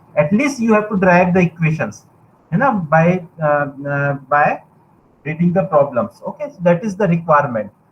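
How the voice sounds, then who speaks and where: A man with an Indian accent, high-pitched, at a moderate pace, with lively intonation and big swings in loudness. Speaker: university lecturer. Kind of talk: lecture.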